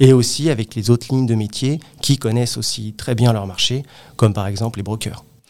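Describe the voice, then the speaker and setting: A man speaks at a fairly quick pace in an ordinary speaking voice, his pitch medium. His intonation stays fairly even. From Paris region, Créteil (Val-de-Marne). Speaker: real estate appraiser and team manager. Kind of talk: interview.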